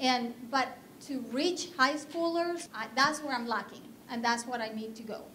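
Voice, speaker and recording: In a Spanish accent, a woman with a high pitch uses a raised, projected voice at a fairly slow pace, her tone bright and sharp, with ordinary pitch variation, big swings in loudness and light background noise. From Colombia. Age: 40s. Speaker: skincare business owner; presenter. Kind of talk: business pitch presentation. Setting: stage with audience. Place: hall. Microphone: handheld.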